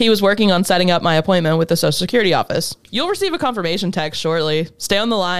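A natural reading voice carries the text.

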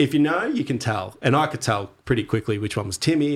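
Speaking in an Australian accent, this man goes at a very fast pace. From Australia, Torquay, Victoria. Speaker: surfer and surf club member. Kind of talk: casual chat.

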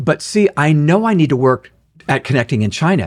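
A man's unremarkable speaking voice at a moderate pace with lively intonation. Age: 60s. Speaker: author and leadership speaker. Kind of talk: interview.

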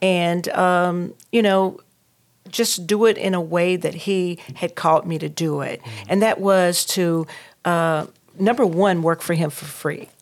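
A woman's fairly low voice with a Southern US accent, fairly even intonation and a fairly slow pace. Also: very clean recording, silent background. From North Carolina. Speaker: entrepreneur and talk show host. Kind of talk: interview. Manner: hesitant, many fillers.

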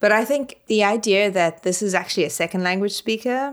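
A woman with a South African accent speaks with lively intonation. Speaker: literary scholar, podcast co-host. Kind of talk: casual discussion.

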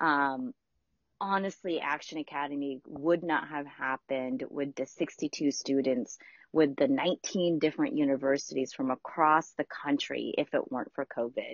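A woman talks at a moderate pace in a very deep, low pitch. Her intonation stays fairly even. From Philippines. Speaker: nonprofit program director. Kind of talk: casual chat. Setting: remote from home.

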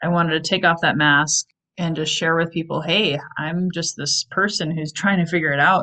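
An unremarkable speaking voice, fairly even in intonation and moderate in pace. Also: woman. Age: 40s. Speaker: sales trainer and coach. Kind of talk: interview.

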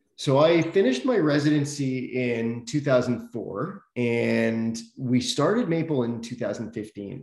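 A man with a Canadian accent has a plain, everyday voice, medium in pitch with ordinary pitch variation. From Toronto, Canada. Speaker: physician and health company CEO. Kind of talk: interview. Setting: home office, remote call.

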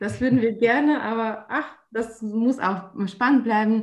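A woman with a fairly high pitch talks at a fairly slow pace, her pitch varying in an ordinary way. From Russia, St. Petersburg. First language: Russian (speaking German). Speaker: trade fair organizer. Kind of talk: interview. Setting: remote call. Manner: hesitant, many fillers.

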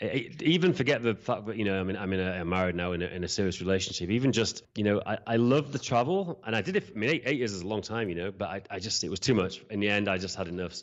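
In a British accent, a man with a fairly low pitch talks very fast with hardly any pauses and ordinary pitch variation. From UK. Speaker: event software entrepreneur and podcast host. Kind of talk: casual interview chat; podcast intro monologue.

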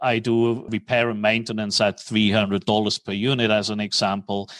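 A man speaks at a moderate pace in a flat monotone at medium pitch, recorded very cleanly, dry and close, with no echo and a silent background. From Switzerland. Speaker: commercial mortgage broker. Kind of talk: interview.

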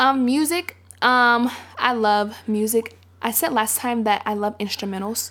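A woman speaks at a fairly slow pace. Her pitch moves in an ordinary way. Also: very clean recording, silent background. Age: 20s. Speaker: college student. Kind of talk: casual chat.

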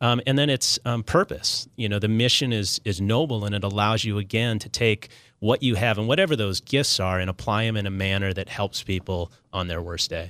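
A man with an American accent speaks in an unremarkable speaking voice at a fairly quick pace, his fairly low pitch showing ordinary variation. The recording is very clean and silent behind him, with a dry, close sound and no echo. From Minnesota. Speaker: nonprofit executive, retired naval officer. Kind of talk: casual interview. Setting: studio.

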